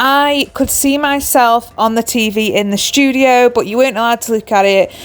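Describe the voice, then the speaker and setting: In an English accent, a woman talks at a fairly high pitch with ordinary pitch variation. Her pace is moderate. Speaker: crochet designer and small business owner. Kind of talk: vlog.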